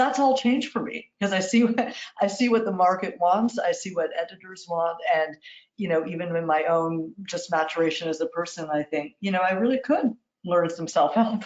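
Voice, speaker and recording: In an American accent, a woman speaks at medium pitch with lively intonation. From New York. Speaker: literary agent. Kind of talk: interview. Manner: fast; warm.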